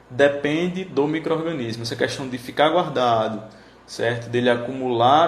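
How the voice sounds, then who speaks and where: A man's medium-pitched voice with fairly even intonation and audible room echo. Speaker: teacher. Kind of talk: lecture. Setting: live stream.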